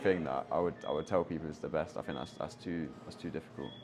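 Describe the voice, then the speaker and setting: A man with a London accent and ordinary pitch variation. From London, England. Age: 20s. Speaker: backpacker. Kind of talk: interview. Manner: hesitant, many fillers and repetitions.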